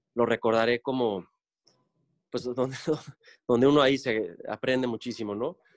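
A man with an ordinary speaking voice, medium in pitch, with fairly even intonation and a dry, close sound with no echo. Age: 40s. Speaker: architect. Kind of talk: interview. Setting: video call.

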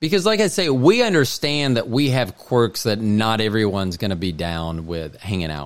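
A man at medium pitch uses very wide pitch swings and big swings in loudness. He keeps a moderate pace with hardly any pauses. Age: 50s. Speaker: podcast host. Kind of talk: casual chat.

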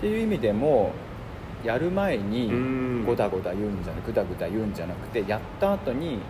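A man's medium-pitched voice with very wide pitch swings at a moderate pace, amid audible room echo and noticeable background noise. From Hiroshima, Japan. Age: 30s. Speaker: designer. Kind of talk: casual chat.

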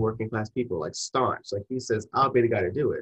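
A man speaks at a medium pitch with a somewhat breathy quality. The sound is dry and close, with no echo. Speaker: podcast host. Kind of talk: casual interview chat.

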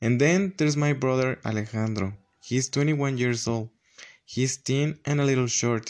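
At a fairly slow pace, a speaker with a Spanish accent talks with ordinary pitch variation. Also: man, medium pitch for a man. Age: 20s. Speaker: language student. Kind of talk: student presentation.

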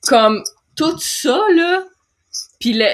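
A woman with a Quebec accent and very wide pitch swings. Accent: Québécois French. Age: 30s. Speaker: podcast host. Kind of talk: interview.

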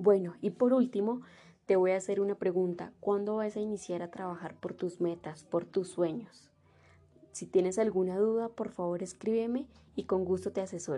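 At a moderate pace, a woman speaks with a dark, mellow tone. Her pitch is medium and her intonation fairly even. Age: 20s. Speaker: online marketing seller. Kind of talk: sales pitch. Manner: scripted, direct address.

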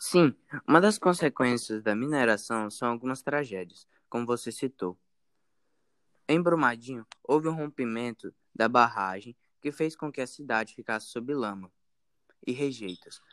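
At a fairly slow pace, a man of medium pitch speaks with lively intonation and long, frequent pauses, in a dry, close sound with no echo. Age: 20s. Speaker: researcher. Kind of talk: interview. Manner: halting.

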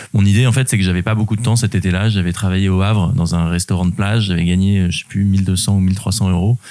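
A man with a fairly low pitch talks at a very fast pace with hardly any pauses. His intonation stays fairly even. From Normandy, France (Rouen). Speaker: adventurer and public speaker. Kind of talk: interview conversation. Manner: hesitant, frequent fillers and repetitions.

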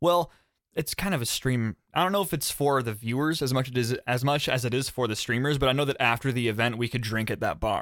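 A man talks at a fairly quick pace with very even loudness, captured in a very clean recording over a silent background. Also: medium pitch for a man, ordinary pitch variation. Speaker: podcast host. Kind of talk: casual chat. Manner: fast talker.

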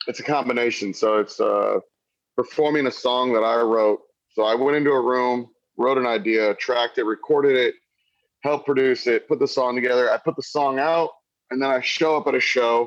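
At a fairly quick pace, a man with an American accent speaks in an unremarkable speaking voice of medium pitch, with fairly even intonation and very even loudness. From Missouri, US. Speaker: country music artist on tour. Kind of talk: casual interview chat. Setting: tour bus, video call.

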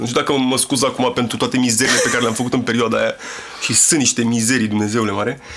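A man talks at a fairly quick pace with a medium pitch. Noticeable background noise can be heard. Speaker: rapper. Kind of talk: casual chat. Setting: studio.

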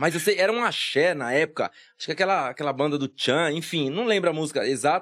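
Over a quiet background, a man speaks at a very fast pace. His pitch is fairly high, with ordinary pitch variation. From Guarulhos, São Paulo, Brazil. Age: 30s. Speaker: salesman and motivational speaker. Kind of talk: casual interview.

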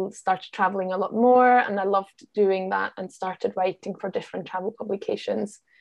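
A woman with a Glasgow accent speaks at a moderate pace. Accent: Scottish-sounding, acquired in Glasgow. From Austria, Vienna. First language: German. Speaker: travel writer and podcaster. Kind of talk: casual interview.

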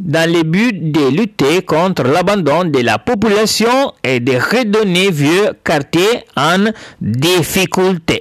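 A man with an Italian accent speaks at a very slow pace, his high-pitched voice rising and falling in lively intonation. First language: Italian (speaking French). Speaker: podcast host. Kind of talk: scripted monologue. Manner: halting.

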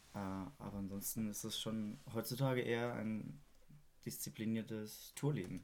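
In a plain, everyday voice, a man talks at a moderate pace, his fairly low pitch showing ordinary variation. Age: 20s. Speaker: drummer and music producer. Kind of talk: casual chat.

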